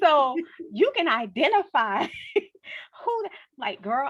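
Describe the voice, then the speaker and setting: A woman speaks with a New Orleans accent. Her tone is animated, with very wide pitch swings. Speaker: book club host. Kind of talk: casual interview chat.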